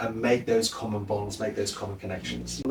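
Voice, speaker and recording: Over noticeable background noise, a man speaks with a British accent. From Britain. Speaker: lecturer and TV presenter. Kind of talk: interview answer.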